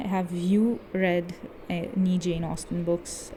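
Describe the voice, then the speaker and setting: There is noticeable background noise. Through it a woman speaks at medium pitch. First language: not English. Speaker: book video creator. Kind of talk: bookshelf tour video. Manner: casual, chatty.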